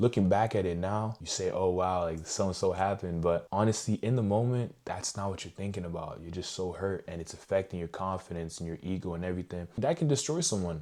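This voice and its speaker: A man speaks with a very deep, low pitch and a dark, mellow tone, at a fairly quick pace with hardly any pauses. His pitch variation is ordinary, and the recording is very clean with a silent background. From Montreal, Quebec, Canada. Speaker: YouTuber. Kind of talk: personal story vlog. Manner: casual.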